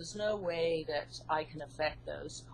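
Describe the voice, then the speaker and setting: A woman speaks in a somewhat breathy voice. Her pace is fairly slow, with ordinary pitch variation. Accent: English. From UK. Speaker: hypnotherapist and psychologist, author. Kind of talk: interview.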